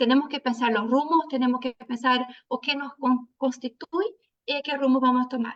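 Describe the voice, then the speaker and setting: Her high pitch and fairly even intonation mark this woman's voice, recorded with a dry, close sound and no echo. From Brazil. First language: Portuguese (speaking Spanish). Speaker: social work professor. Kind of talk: academic panel talk. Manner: slow; reading from notes.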